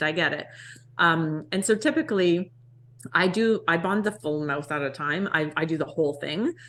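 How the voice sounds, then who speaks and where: The woman's voice sits fairly low in pitch and shows ordinary pitch variation. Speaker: dental assistant and podcast co-host. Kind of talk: casual chat explaining clinical procedure. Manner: fast.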